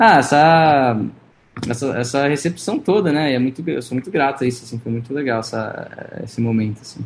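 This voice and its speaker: The man's pace is moderate. His pitch sits in the medium range. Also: ordinary pitch variation. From Brazil. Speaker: singer-songwriter. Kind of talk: interview.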